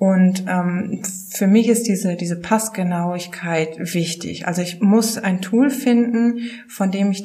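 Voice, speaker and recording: A woman speaks at a very slow pace in a medium pitch with fairly even intonation. Audible room echo and noticeable background noise fill the recording. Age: 30s. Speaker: publishing sales manager. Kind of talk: casual interview.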